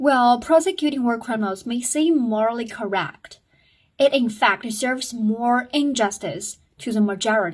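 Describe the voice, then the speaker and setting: In a very clean recording with a silent background, a woman with a non-native accent talks at a fairly slow pace in a high pitch. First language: not English. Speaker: student sharing school assignments. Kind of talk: reading aloud a debate speech. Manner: halting.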